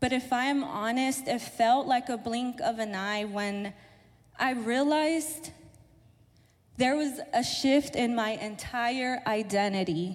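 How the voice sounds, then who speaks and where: In an American accent, a woman speaks very slowly at a high pitch with ordinary pitch variation. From southern California, Mexican-born. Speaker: church office assistant. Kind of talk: testimony. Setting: church.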